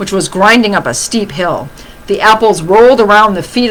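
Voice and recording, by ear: Someone is reading aloud in a natural voice here.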